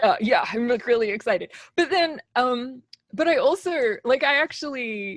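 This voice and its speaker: A woman with an Australian accent speaks at a moderate pace in a high pitch, with very wide pitch swings. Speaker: composer. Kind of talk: interview.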